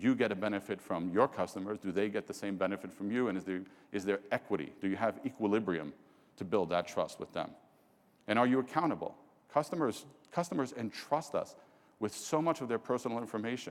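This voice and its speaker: Talking very fast, a man with a New York accent uses a fairly low voice. His tone is animated and his intonation lively. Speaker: business executive. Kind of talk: keynote presentation. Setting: stage with audience.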